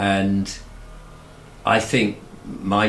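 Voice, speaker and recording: There is audible room echo around a man with an English accent and a fairly low pitch. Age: 60s. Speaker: YouTuber. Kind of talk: interview. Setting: home studio.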